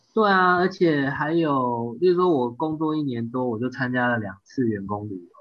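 With lively intonation and hardly any pauses, a man talks at medium pitch and a moderate pace. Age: 30s. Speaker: amateur triathlete. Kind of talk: casual interview chat.

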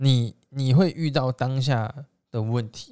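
This man has a Taiwanese accent and a dark, mellow tone at a medium pitch. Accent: Taiwanese Mandarin. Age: 20s. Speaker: direct sales entrepreneur. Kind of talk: motivational monologue. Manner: hesitant fillers.

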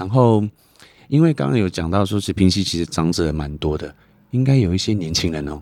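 A dark, mellow tone at a fairly quick pace, with lively intonation. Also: man, very deep, low pitch for a man. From Taitung, Taiwan. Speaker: podcast host, taxi driver. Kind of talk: casual chat. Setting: in a car.

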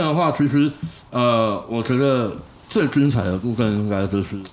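The man talks at a moderate pace, and audible room echo carries through the clip. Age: middle-aged. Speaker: podcast co-host, F1 fan. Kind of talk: casual chat.

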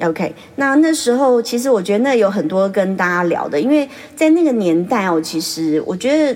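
Over noticeable background noise, a woman with a fairly high pitch talks at a moderate pace, her voice making very wide pitch swings. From Taiwan. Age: 40s. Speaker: beautician and podcast host. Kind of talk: casual monologue. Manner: chatty, laughs often.

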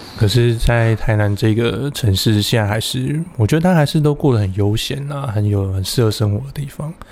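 This man talks at a moderate pace with medium pitch and ordinary pitch variation. Noticeable background noise runs under his voice. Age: middle-aged. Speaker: podcast co-host. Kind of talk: casual chat.

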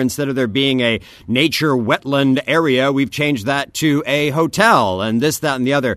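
Fairly quick and with lively intonation, a man speaks at a medium pitch in an unremarkable speaking voice. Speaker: news correspondent. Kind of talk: news discussion. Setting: remote from Kaohsiung.

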